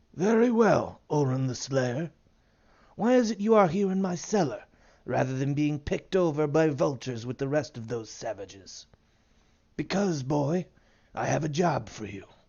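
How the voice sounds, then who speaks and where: A man puts on a character voice at a fairly high pitch. He keeps a moderate pace, broken by long, frequent pauses. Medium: read story. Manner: condescending, cryptic.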